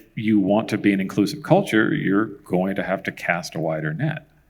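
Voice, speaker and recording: With an American accent, a man with a normal speaking voice and fairly low pitch talks at a moderate pace with hardly any pauses. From San Jose, California. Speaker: tech engineer, keynote speaker. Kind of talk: panel Q&A.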